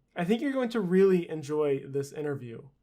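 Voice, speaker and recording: A man's high-pitched voice with lively intonation. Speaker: gaming YouTuber. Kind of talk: scripted narration.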